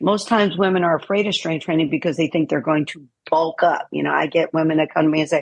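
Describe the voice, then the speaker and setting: A woman has an unremarkable speaking voice, fairly low in pitch with ordinary pitch variation. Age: 60s. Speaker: fitness trainer and wellness coach. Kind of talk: podcast interview.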